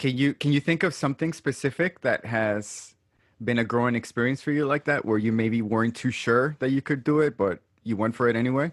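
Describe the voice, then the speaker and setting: In a very clean recording with a silent background and a dry, close sound with no echo, a man with an ordinary speaking voice talks at a fairly quick pace, his medium pitch showing ordinary pitch variation and his loudness very even. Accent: American. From Brooklyn, New York. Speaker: podcast host. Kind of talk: casual chat.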